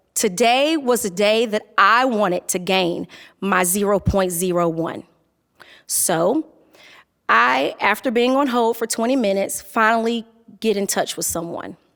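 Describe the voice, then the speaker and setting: In a Southern US accent, a woman speaks at a medium pitch and a fairly slow pace with lively intonation. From Durham, North Carolina. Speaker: technology facilitator. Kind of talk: personal storytelling talk.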